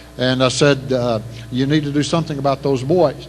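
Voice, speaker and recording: The speaker has an East Texas accent and fairly even intonation. Audible room echo and noticeable background noise fill the recording. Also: man. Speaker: retired Navy SEAL officer, banquet speaker. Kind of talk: after-dinner speech. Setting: banquet hall PA system. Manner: fast; halting, many repetitions.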